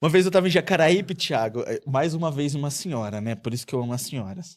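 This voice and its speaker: Very wide pitch swings and a very fast pace from a man. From Espírito Santo, Brazil. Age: 30s. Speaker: TV journalist. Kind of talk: podcast interview. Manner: animated.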